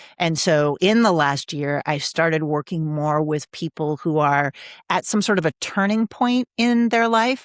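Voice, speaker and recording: In an American accent, the voice moves at a fairly slow pace with lively intonation and very even loudness, dry and close with no echo on a very clean recording with a silent background. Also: woman, very deep, low pitch for a woman. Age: 60s. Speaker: executive coach and author. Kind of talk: interview conversation.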